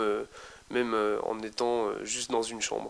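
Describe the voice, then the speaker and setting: At a moderate pace, a man talks at a medium pitch. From eastern France (Besançon, Franche-Comté). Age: 20s. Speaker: young resident of a homeless shelter. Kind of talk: interview testimony. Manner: hesitant, many fillers.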